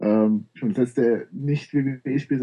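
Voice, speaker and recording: This man has a plain, everyday voice at medium pitch. His intonation stays fairly even. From Bavaria, Munich. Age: 20s. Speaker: gaming website writer. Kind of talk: casual chat.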